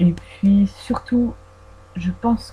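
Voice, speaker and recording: A woman talks with fairly even intonation. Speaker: fan vlogger. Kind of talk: casual audio Q&A about films. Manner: hesitant, many fillers; trying to articulate carefully.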